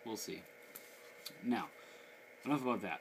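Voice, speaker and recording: A man mumbles. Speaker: gaming channel host. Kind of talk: product review. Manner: mumbling; casual, low.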